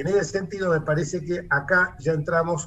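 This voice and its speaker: A man with a high-pitched voice. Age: 70s. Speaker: politician. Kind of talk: interview. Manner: animated, indignant.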